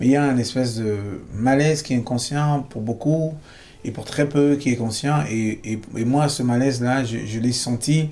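Medium-pitched male speech at a moderate pace, with noticeable background noise. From Cameroon. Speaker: singer-songwriter. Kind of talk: interview. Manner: halting.

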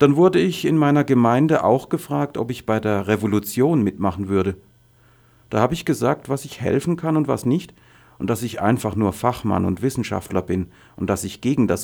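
A man speaks at a moderate pace with a medium pitch and lively intonation, in a normal speaking voice. The recording is very clean, with a silent background. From Syria, Daraa region. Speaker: refugee, former university professor. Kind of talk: testimony.

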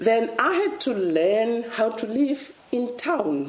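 Noticeable background noise sits behind a woman whose voice is fairly high in pitch. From Namibia, rural village. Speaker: author and diplomat. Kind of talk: author talk.

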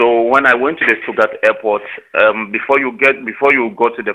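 Pitch moves up and down in an ordinary way. The delivery comes at a fairly quick pace. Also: man. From South Sudan, raised in Uganda. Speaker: asylum seeker in detention. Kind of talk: interview testimony. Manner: halting, many fillers.

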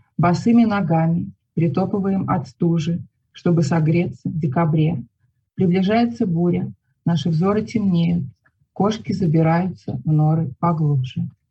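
A woman's somewhat breathy, dark, mellow voice, fairly low in pitch with ordinary pitch variation, at a fairly slow pace with long, frequent pauses and very even loudness. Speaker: poet and writer. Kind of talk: poetry reading aloud, calm and measured, with brief spoken intro.

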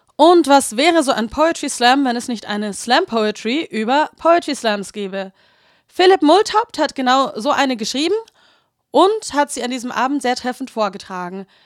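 Her pitch high, a woman speaks with very wide swings up and down. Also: moderate pace. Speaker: radio host. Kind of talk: radio news-style introduction. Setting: studio.

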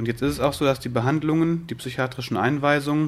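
This is a man with a normal speaking voice. He talks at a fairly quick pace with a fairly high pitch. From western Germany, Wuppertal. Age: 30s. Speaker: peer support worker, psychiatric survivors' association. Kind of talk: interview.

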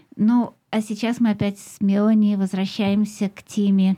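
A somewhat breathy woman's voice of fairly high pitch with a dark, mellow tone, on a very clean recording with a silent background. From Russia, Moscow. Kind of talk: radio show. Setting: studio.

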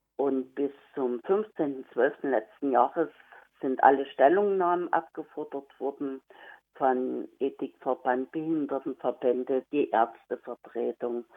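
Her pitch varying in an ordinary way, a woman talks at a very slow pace. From Saxony, Germany. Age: 50s. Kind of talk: interview. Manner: hesitant, many fillers.

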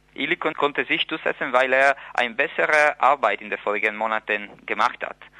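The man speaks with ordinary pitch variation. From Friuli, Italy. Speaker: newspaper editor. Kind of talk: interview. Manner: hesitant, many fillers.

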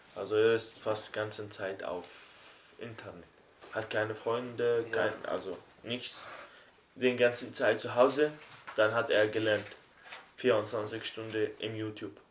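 Against noticeable background noise, a man speaks very slowly at a medium pitch. His intonation is monotone and flat, with long, frequent pauses. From Syria, Aleppo. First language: Arabic (speaking German). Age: 20s. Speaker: refugee and apprentice. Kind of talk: interview. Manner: halting.

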